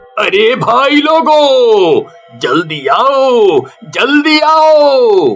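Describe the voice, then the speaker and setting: Faint music plays in the background behind a put-on character voice. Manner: scared, shouting.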